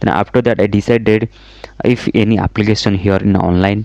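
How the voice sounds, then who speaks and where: A man with an Odisha accent, dark and mellow in tone, at a moderate pace. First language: Odia. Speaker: software engineer and YouTuber. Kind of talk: personal story vlog. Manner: halting.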